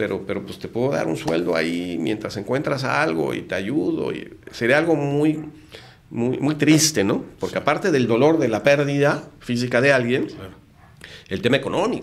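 Vocal fry runs through a man's speech as his pitch swings very widely and his loudness rises and falls sharply. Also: medium pitch for a man, moderate pace. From Mexico City. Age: 50s. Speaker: lawyer and entrepreneur; lawyer. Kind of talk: casual interview. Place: studio. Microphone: studio mic.

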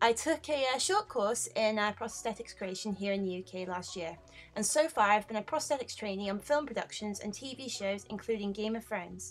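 With hardly any pauses, a woman talks at a fairly quick pace and a fairly high pitch, her pitch varying in an ordinary way over noticeable background noise. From United Kingdom. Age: 20s. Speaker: cosplayer and makeup artist. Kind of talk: voice-over narration.

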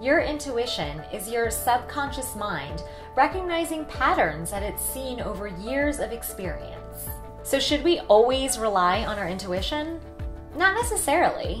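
Clear music plays in the background. A woman speaks over it at a fairly slow pace. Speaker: vlogger. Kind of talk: casual vlog chat. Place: home room.

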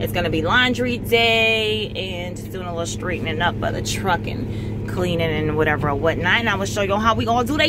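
A woman speaks at a fairly quick pace. Loud background noise runs underneath. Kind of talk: casual vlog chat. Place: car.

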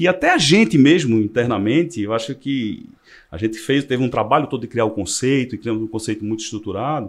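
A man at a very fast pace, ordinary pitch variation, quiet background. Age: 40s. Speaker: car dealership director; podcast guest. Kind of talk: casual interview. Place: studio. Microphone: studio mic.

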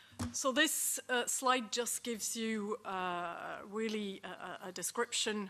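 Over light background noise, a woman with a bright, sharp tone speaks at a fairly slow pace with ordinary pitch variation. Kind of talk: panel presentation. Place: meeting room. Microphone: podium.

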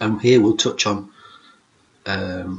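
A man speaks at a fairly low pitch. His pace is fairly slow. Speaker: teacher presenter. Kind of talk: lecture. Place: home room. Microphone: webcam.

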